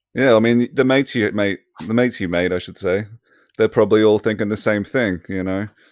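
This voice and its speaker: Talking very fast, a man with an Australian accent keeps a fairly low pitch and fairly even intonation. The recording is very clean and dry, close with no echo, over a silent background. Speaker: podcast host. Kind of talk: scripted intro; casual chat.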